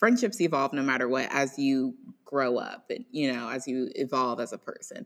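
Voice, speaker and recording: Here a woman is speaking. Her pitch swings very widely. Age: 20s. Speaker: podcast host and law student. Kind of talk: casual chat. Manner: animated.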